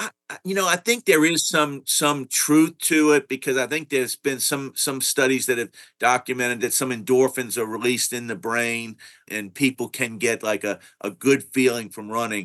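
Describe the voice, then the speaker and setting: A man's normal speaking voice at medium pitch, ordinary pitch variation and a moderate pace, dry and close with no echo against a quiet background. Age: 60s. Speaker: cardiologist researcher. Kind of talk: interview.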